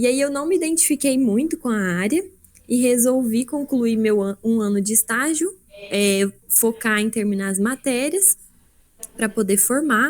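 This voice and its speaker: A woman speaks with an ordinary speaking voice and lively intonation. Her pitch is fairly high. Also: fairly slow pace. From Brazil, southern Minas Gerais. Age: 20s. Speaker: production engineer and agile consultant. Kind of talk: presentation. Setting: video call livestream. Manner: casual, conversational.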